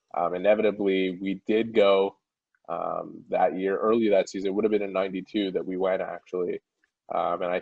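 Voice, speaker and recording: A man speaks with a Montreal accent. His pace is moderate. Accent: Montreal English Canadian. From Quebec, Montreal (Town of Mount Royal). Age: 30s. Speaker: hockey reporter. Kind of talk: interview.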